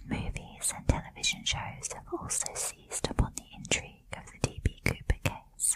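A woman whispering in a soothing tone at a moderate pace, with noticeable background noise. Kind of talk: ASMR whispered true crime narration. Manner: whispered, soft-spoken, soothing.

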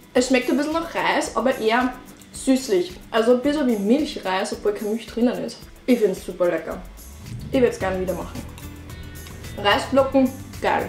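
Speaking in an Upper Austrian accent, a woman uses a high pitch and lively intonation, leaving long, frequent pauses while music plays in the background. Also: moderate pace. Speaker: vegan lifestyle vlogger. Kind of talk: casual vlog talk to camera.

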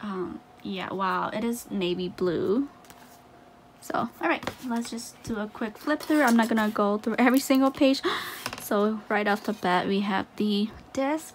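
A woman's lively-toned voice at a fairly slow pace, over light background noise. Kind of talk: casual unboxing chat. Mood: excited, delighted. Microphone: phone near.

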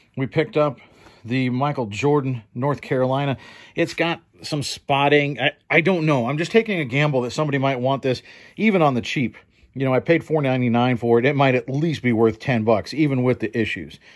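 A man talks at a fairly quick pace with ordinary pitch variation against a quiet background. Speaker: thrift reseller. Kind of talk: casual haul vlog commentary. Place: home room. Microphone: phone near.

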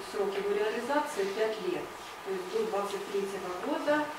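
A woman talks in a space with audible room echo, clear background noise running throughout. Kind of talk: presentation to an audience. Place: meeting room.

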